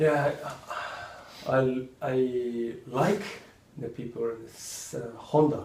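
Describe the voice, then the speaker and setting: With a Japanese accent, the speaker goes at a very slow pace with long, frequent pauses and big swings in loudness, over noticeable background noise and audible room echo. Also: man, medium pitch for a man, ordinary pitch variation. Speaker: motocross rider. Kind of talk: interview. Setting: studio. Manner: halting.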